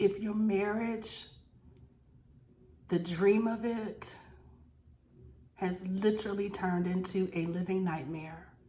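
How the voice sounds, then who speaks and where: At a very slow pace with long, frequent pauses, a woman speaks in a somewhat breathy medium-pitched voice, her intonation fairly even and the room echo audible. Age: 50s. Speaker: inspirational vlogger sharing personal story. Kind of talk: personal testimony and encouragement. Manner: earnest, emphatic with repetitions.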